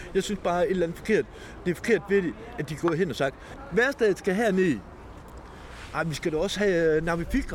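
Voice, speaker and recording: Over noticeable background noise, the speech moves at a moderate pace with lively intonation. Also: man. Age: 50s. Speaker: homeless man. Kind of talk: interview testimony.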